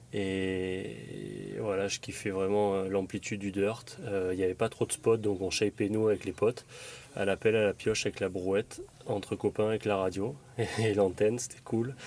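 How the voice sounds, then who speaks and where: Here a man speaks with a fairly low pitch. His intonation is fairly even and his pace moderate. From southern France, Draguignan, Var. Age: 30s. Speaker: retired motocross racer. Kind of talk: casual interview. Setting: in the back of a van. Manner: halting, many repetitions.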